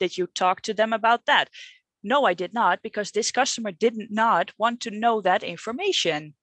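A woman's fairly high voice with a Dutch accent and ordinary pitch variation, dry and close with no echo, over a quiet background. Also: moderate pace. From Netherlands. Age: 30s. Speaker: coaching client. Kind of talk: coaching conversation. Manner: halting, hesitant.

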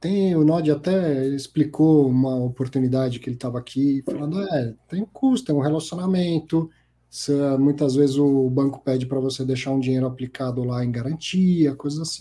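A man speaks at a moderate pace with a fairly high pitch, ordinary pitch variation and a dark, mellow tone. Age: 40s. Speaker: financial podcast host. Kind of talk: live show commentary and interview. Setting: live stream.

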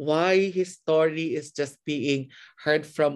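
Against a quiet background, a man with a Filipino accent speaks at a fairly slow pace and a fairly high pitch. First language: Tagalog. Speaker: podcast host. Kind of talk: casual interview. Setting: remote call.

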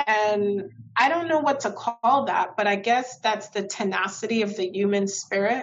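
A woman with a New York accent talks at a fairly high pitch. Her pace is moderate and her pitch varies in an ordinary way. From Brooklyn, New York. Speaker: state legislator. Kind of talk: interview.

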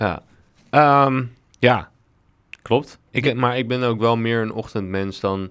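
Speaking very slowly, a man uses a medium pitch and fairly even intonation, with long, frequent pauses. The recording is very clean, with a silent background. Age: 30s. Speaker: podcast co-host. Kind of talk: casual chat.

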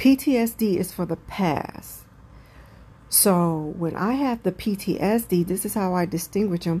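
Speaking at a very slow pace, a woman has a medium-pitched, somewhat breathy voice with a dark, mellow tone and ordinary pitch variation, on a very clean recording with a silent background. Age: 40s. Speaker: mental health podcaster. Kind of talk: personal monologue. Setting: at home, windows open.

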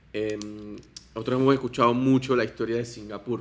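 In an ordinary speaking voice, a man talks with a medium pitch and fairly even intonation. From Panama. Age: 20s. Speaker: political candidate. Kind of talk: interview.

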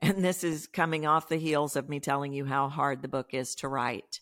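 In a very clean recording with a silent background, a woman with a Texan accent speaks in a very deep, low voice. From Texas. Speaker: voice coach. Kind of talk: interview.

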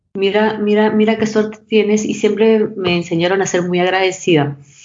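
A woman talks at a moderate pace and medium pitch with fairly even intonation. Hers is a normal speaking voice. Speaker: fashion brand co-founder. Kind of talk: interview.

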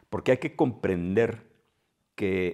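The recording is very clean, with a silent background. The pitch shows ordinary variation. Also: man. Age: 60s. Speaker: podcast host. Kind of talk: solo monologue. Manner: hesitant, with filler sounds.

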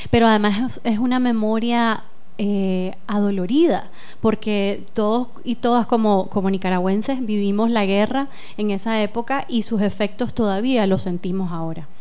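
A woman's fairly high pitch at a moderate pace, with ordinary pitch variation and audible room echo. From Nicaragua. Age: 40s. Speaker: filmmaker. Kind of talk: radio interview.

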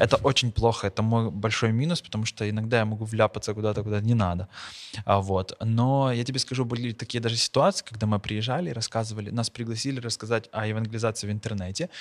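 Over a silent background, a man talks at a very fast pace with fairly even intonation. The recording is very clean, with a dry, close sound and no echo. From Ukraine, Bila Tserkva. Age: young. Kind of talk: casual interview chat.

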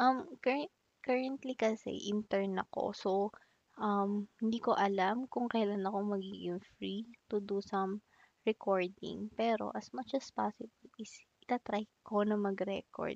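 A woman speaks at a fairly slow pace in an ordinary speaking voice. Her pitch sits in the middle range and varies in an ordinary way. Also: dry, close sound with no echo. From Philippines, Makati (Metro Manila). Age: 20s. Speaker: student podcaster. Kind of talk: casual solo podcast Q&A.

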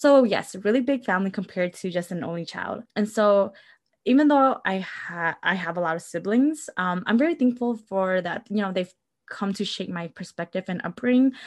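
In a normal speaking voice, a woman talks at a medium pitch and moderate pace with lively intonation against a quiet background. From Milwaukee, Wisconsin. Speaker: podcast co-host. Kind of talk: casual chat.

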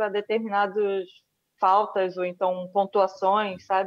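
In a Rio de Janeiro accent, the speaker talks at a fairly slow pace with fairly even intonation, the sound dry and close with no echo. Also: woman. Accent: Brazilian Portuguese, Rio (carioca). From Brazil, Rio de Janeiro. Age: 30s. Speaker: Olympic judoka. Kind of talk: interview.

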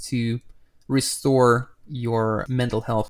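In a very clean recording with a silent background, a man's voice comes through. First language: not English. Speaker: podcast host, designer. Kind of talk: casual interview chat. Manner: animated, playful.

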